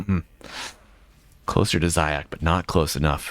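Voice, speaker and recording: A man speaks in an American accent. His tone is bright and sharp. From USA. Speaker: esports caster. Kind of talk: live commentary. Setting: live stream. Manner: animated.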